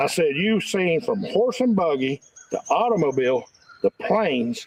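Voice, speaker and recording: A man with a Southern Appalachian accent speaks at a fairly slow pace, his pitch high and his intonation lively. The sound is dry and close, with no echo. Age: 60s. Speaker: local resident. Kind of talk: casual chat.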